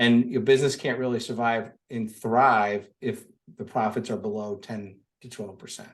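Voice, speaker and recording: This man speaks at a moderate pace in a normal speaking voice, his pitch medium and his intonation fairly even. His loudness swings widely. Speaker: lawn care business owner and business coach. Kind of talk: interview.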